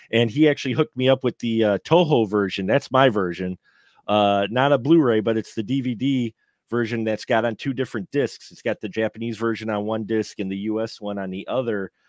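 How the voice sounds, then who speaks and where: Against a quiet background, a man with an American accent talks at a fairly quick pace with ordinary pitch variation and big swings in loudness, the sound dry with no echo. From Milwaukee, Wisconsin, US; Wisconsin. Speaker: film podcaster and panelist; film podcaster, panelist. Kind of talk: live round table film review. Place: home room. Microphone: video call.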